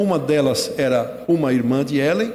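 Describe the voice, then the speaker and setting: His voice sits fairly high in pitch with a dark, mellow tone. The man's intonation is lively. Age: 60s. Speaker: retired pastor. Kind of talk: sermon.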